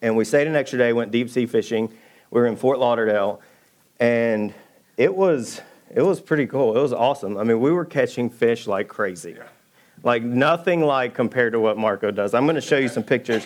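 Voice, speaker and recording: A medium-pitched man with a Southern US accent, at a fairly quick pace. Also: ordinary pitch variation. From US South, Georgia. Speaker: church elder preaching. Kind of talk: sermon. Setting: church stage with congregation.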